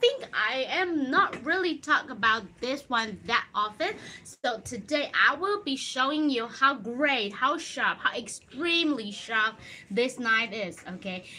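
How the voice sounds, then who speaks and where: A woman projects a raised voice with lively intonation at a fairly slow pace. Light background noise can be heard. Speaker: presenter. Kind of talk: casual livestream product talk. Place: shop. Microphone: phone near.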